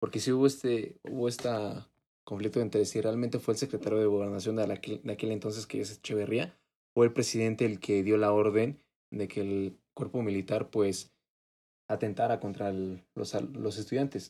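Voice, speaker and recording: In a Mexican accent, a man with a fairly low pitch and a dark, mellow tone speaks at a moderate pace with fairly even intonation. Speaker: podcast co-host. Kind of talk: casual chat.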